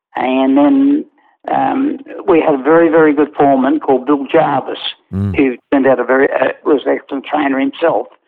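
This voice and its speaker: The voice moves at a moderate pace with an Australian accent. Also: man. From Australia, Newcastle NSW. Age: 80s+. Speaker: retired racehorse trainer. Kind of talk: interview. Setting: remote call. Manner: halting.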